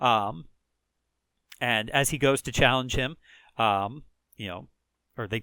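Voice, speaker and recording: With a Chicago accent, a man speaks at a moderate pace in a bright, sharp tone. The recording is very clean, with a silent background. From rural Chicago area, US Midwest. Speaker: gaming video creator. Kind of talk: let's play commentary. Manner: casual, many fillers (um, uh).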